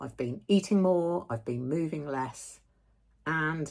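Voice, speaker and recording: On a very clean recording with a silent background, a woman speaks in a very deep, low voice with ordinary pitch variation. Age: 60s. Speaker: vlogger. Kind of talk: personal video update.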